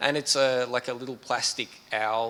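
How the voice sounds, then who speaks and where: This man has an Australian accent and a medium pitch, with a bright, sharp tone. He speaks fairly slowly in a flat, monotone way. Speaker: computer science professor. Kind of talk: panel discussion. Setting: stage with audience.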